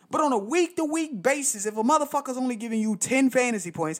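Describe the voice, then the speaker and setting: The recording is very clean, with a silent background. A man speaks at a fairly quick pace in a passionate tone. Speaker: fantasy football podcaster. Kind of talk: solo rant-style monologue, unscripted, angry at stretches. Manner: passionate, heated, emphatic, swearing, sarcastic mimicry of pundits; rhetorical questions, repeats for emphasis, indignant tone.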